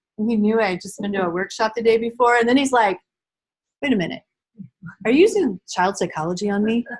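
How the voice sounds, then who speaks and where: A woman's fairly high, somewhat breathy voice in an animated tone, very fast pace, ordinary pitch variation, and long, frequent pauses. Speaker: early childhood behavior trainer. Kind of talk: training workshop lecture.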